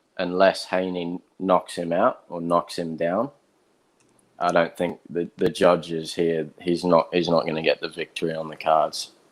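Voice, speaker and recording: In a flat monotone, a man with a very deep, low pitch speaks at a fairly slow pace. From England, Manchester, then Australia from age nine. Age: 20s. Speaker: guest, boxing fan. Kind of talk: casual chat.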